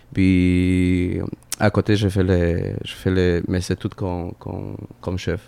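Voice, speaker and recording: A man speaks in a very deep, low pitch with a Spanish accent. His pace is very slow and his intonation monotone and flat. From Peru, Lima. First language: Spanish (speaking French). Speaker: chef. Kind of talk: casual chat. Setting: restaurant. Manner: halting.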